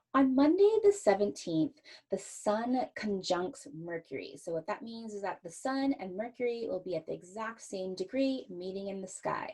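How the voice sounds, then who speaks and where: Hardly pausing, a woman with a dark, mellow, somewhat breathy voice speaks with lively intonation and big jumps in loudness. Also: medium pitch for a woman. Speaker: astrologer podcast host. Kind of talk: solo podcast forecast talk. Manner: slow.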